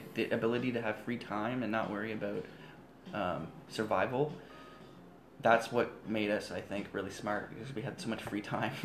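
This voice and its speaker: A man with a medium pitch and ordinary pitch variation talks at a fairly quick pace, broken by long, frequent pauses, over noticeable background noise. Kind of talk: infomercial pitchman parody. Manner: loud, upbeat, hard-sell patter with exaggerated salesman enthusiasm.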